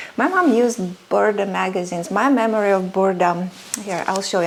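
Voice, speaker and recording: Over noticeable background noise, a woman with a Russian accent speaks at a moderate pace in a medium pitch with ordinary pitch variation. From Soviet Union (Russia). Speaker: sewing and vintage fashion creator. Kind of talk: personal storytelling vlog. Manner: hesitant, many fillers.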